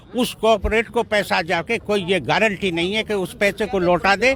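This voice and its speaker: This man's voice sits high in pitch, and his intonation stays fairly even. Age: 70s. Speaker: farmers' union leader. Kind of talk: political interview.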